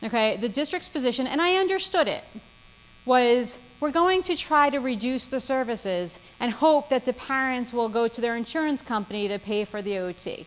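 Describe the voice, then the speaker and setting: A woman speaks at a high pitch. Her intonation is lively. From New Jersey. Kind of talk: seminar talk. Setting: seminar with live audience. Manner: fast.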